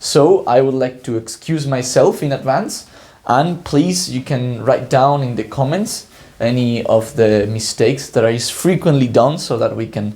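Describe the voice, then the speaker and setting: Somewhat breathy and dark, mellow in tone, a man talks at medium pitch and a fairly slow pace with ordinary pitch variation. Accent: non-native. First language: Spanish. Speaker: PhD student, educational YouTuber. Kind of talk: lecture. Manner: halting, many fillers.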